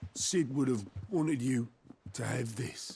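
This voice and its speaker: Put-on character voice from a man, raspy, medium in pitch and fairly slow. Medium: video game.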